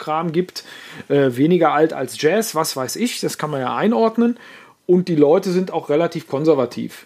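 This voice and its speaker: A man with a normal speaking voice, fairly high pitch and a moderate pace. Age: 40s. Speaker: journalist and musician. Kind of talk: casual chat.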